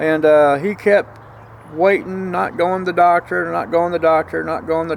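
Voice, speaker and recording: With an American accent, a man speaks at a moderate pace over noticeable background noise. His pitch is fairly high and his intonation fairly even. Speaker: vlogger. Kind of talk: casual vlog monologue. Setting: outdoors.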